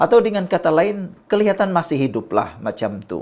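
Very wide pitch swings from a man, set in a quiet background. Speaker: political commentary YouTuber. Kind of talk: political commentary monologue.

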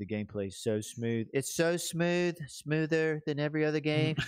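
In an Alabama accent, the speech has lively intonation at a moderate pace, with a dry sound with no echo over a quiet background. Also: man. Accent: Alabama Southern. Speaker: gaming podcast co-host. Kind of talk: casual chat. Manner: laughs often. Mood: playful, jokey hype. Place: home room. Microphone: studio mic.

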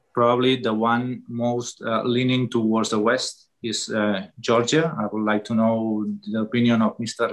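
Against a quiet background, a man with a Catalan accent speaks fairly slowly in a monotone, flat intonation. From Catalonia. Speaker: politician. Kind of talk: webinar talk. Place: home room. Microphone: video call.

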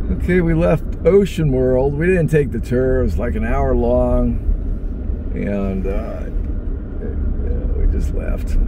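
Noticeable background noise runs under a man who talks very slowly. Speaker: travel vlogger. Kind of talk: casual vlog chat. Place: car. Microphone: phone near.

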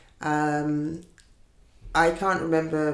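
A woman speaks at a very deep, low pitch and a very slow pace in a monotone, flat delivery. Audible room echo fills the recording. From Jamaica. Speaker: Windrush generation migrant. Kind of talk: oral history interview answer. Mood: emotional, at times tearful. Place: home room.

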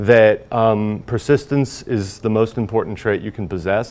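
With an American accent, a man speaks in an unremarkable speaking voice, fairly low in pitch, with fairly even intonation. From Indiana, US Midwest. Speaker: high school teacher and horror novelist; teacher. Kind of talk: news interview soundbites. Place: studio. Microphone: lapel.

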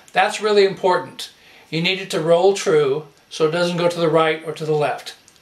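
Amid audible room echo, a man speaks at a moderate pace with ordinary pitch variation. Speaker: home video host. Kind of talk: comedic tutorial chat. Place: home room.

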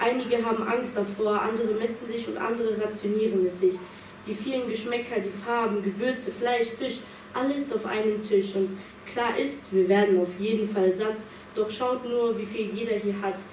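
Her intonation is monotone and flat, her pitch fairly high for a woman. She talks at a moderate pace over noticeable background noise. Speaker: slam poet. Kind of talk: spoken word poetry slam performance, rhymed and rhythmic, with a refrain. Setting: stage with audience. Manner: measured, building to a pointed refrain; earnest, reflective, with dramatic pauses.

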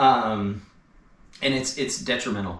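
A man speaks at a moderate pace with a fairly low pitch and ordinary pitch variation. Audible room echo surrounds his voice. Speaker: e-bike shop owner and industry commentator. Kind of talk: angry rant about the e-bike industry, delivered as a solo video monologue. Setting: garage, solo video. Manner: fired up and indignant, pushing each point hard; sarcastic and pointed, cutting in with laughs. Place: garage.

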